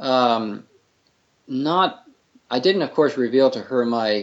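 With an American accent, a man speaks at a medium pitch and a very slow pace. His intonation is lively. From Northern Virginia, US. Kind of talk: interview. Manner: halting, many fillers.

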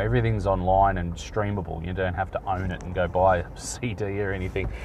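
Audible room echo surrounds a man speaking with an Australian accent. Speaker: podcast host. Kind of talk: casual solo monologue.

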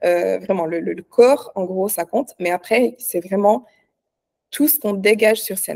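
A woman's medium-pitched, dark, mellow voice at a moderate pace, with ordinary pitch variation and a dry, close sound with no echo. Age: 30s. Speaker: online fitness coach and bikini athlete. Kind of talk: casual interview.

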